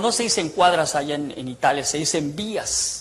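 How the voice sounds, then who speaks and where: At a moderate pace, the voice swings very widely in pitch over noticeable background noise. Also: man. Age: 60s. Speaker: ex-priest preacher. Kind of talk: testimony. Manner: animated.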